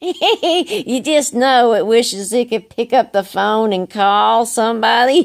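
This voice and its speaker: In a put-on character voice, a woman cackles with lively intonation and a fairly high pitch, moving at a fairly slow pace with hardly any pauses. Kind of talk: comic character monologue. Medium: solo performance. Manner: rambling, repetitive, cackling.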